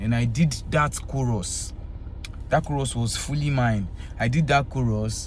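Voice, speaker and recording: Audible room echo surrounds a man speaking fairly slowly with a Yoruba accent. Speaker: Afrobeats singer. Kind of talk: casual talk to camera.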